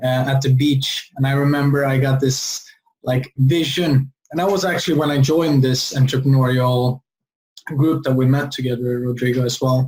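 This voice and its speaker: Somewhat breathy, a man with a fairly high pitch speaks at a moderate pace. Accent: Swedish. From Sweden. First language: Swedish. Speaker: entrepreneur. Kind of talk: interview.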